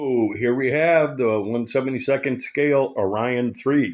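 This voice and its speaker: This is a normal speaking voice. It moves at a fairly slow pace with ordinary pitch variation. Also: man. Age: 60s. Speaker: scale model builder and reviewer. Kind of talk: casual product review, unboxing.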